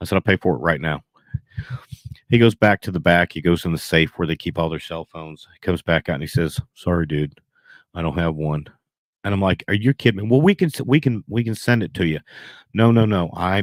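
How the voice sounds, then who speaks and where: In a Southern US accent, a man with a very deep, low pitch talks in an animated tone with ordinary pitch variation, the sound dry and close with no echo. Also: fairly quick pace. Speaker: beekeeping livestreamer. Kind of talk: casual livestream storytelling. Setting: livestream with laptop, GoPro and Zoom audio. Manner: fast.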